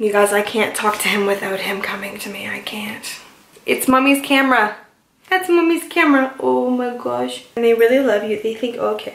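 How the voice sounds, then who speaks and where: There is audible room echo. A woman talks within it. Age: 20s. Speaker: lifestyle vlogger. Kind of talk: casual vlog talk to camera. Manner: fast, chatty. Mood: cheerful, playful. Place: home room. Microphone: phone near.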